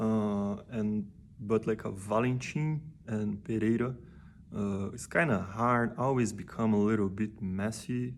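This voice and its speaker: A man speaks with a Portuguese accent at a fairly slow pace. His pitch is fairly low, with ordinary variation. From Brazil. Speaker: musician and vlogger. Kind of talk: personal vlog talk. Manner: halting, many fillers and repeats.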